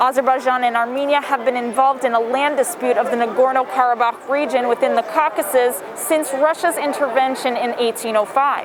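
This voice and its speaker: Against noticeable background noise, a woman with a high voice talks at a fairly quick pace. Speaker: TV reporter. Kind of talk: live TV news report.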